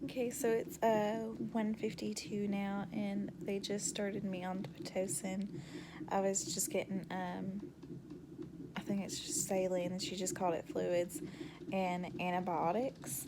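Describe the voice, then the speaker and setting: At a fairly slow pace with ordinary pitch variation, the voice comes through audible room echo and noticeable background noise. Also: woman, medium pitch for a woman. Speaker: vlogger. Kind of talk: casual vlog. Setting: hospital room.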